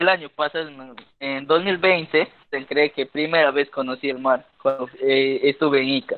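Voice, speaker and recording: This man has an unremarkable speaking voice, fairly high in pitch, with fairly even intonation and a fairly slow pace. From Peruvian Amazon, Ucayali. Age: 20s. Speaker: university student and cultural content creator. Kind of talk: casual interview.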